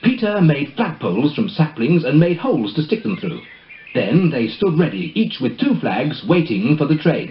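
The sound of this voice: Big pitch swings amid audible room echo.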